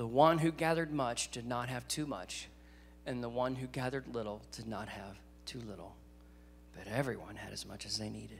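This man has a Southern US accent. Light background noise sits behind his voice. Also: ordinary pitch variation, fairly quick pace, big swings in loudness. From US South. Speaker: guest preacher. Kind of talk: sermon. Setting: church. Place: church. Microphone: handheld.

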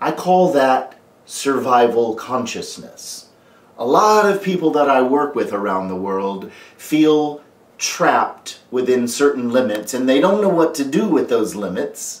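A man talks at a fairly slow pace, with audible room echo around him. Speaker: life coach. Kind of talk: motivational talk to camera. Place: home room.

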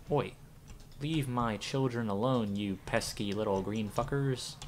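Over clear background noise, a man puts on a character voice at medium pitch and a fairly slow pace. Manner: angry, scolding.

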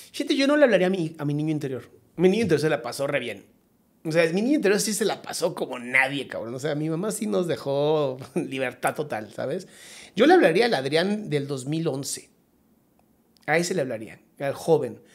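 A man's fairly high voice at a moderate pace, with lively intonation over a quiet background. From Mexico. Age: 40s. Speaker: psychologist; podcast guest. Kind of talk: casual chat. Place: studio. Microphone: studio mic.

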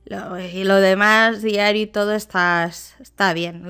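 On a very clean recording with a silent background, a woman at medium pitch speaks at a fairly slow pace in an animated, bright, sharp tone. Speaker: gaming youtuber. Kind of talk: casual gameplay commentary.

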